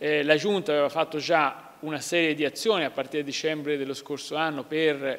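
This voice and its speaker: A man talks at a fairly quick pace with hardly any pauses. His intonation is fairly even. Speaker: regional councillor. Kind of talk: interview answer. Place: hall.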